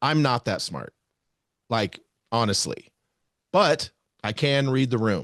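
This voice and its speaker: Against a quiet background with dry, close sound and no echo, a man at medium pitch speaks very slowly with vocal fry, lively intonation, and long, frequent pauses. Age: 50s. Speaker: archery media podcaster. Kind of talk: casual chat. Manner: stutter.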